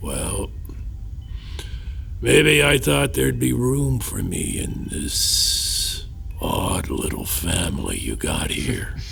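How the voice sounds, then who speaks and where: A man does a put-on character voice at a very slow pace, with long, frequent pauses and clear background noise. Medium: audio drama. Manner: wry, evasive, self-deprecating, chuckling.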